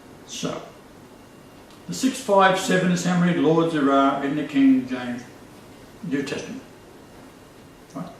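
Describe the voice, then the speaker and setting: Lively intonation, a moderate pace and long, frequent pauses come through with audible room echo and noticeable background noise. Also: man, fairly high pitch for a man. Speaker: religious video host. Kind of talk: casual chat.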